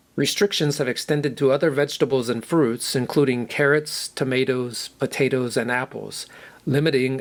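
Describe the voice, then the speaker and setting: An unremarkable speaking voice from a man with an American accent, medium pitch, fairly even intonation and a moderate pace, in a very clean recording with a silent background. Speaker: English teacher. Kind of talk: news reading for language learners.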